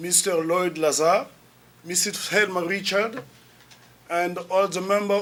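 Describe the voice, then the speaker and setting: Speaking in a Congolese accent, a man with a high pitch keeps a moderate pace and fairly even intonation over noticeable background noise. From Republic of the Congo. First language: French. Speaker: lecturer and activist. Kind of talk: lecture. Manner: formal.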